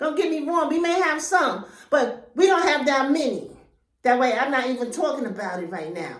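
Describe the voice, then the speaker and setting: A woman speaks loudly with an animated tone and a high pitch, her pitch swinging very widely at a moderate pace amid audible room echo. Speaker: YouTuber. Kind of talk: vlog monologue.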